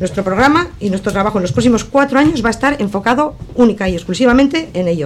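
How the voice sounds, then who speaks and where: A woman with a fairly high pitch speaks at a very fast pace with very wide pitch swings, amid noticeable background noise. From Basque Country, Sestao (Biscay). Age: 60s. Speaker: councillor and election candidate. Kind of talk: radio election debate. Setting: radio studio.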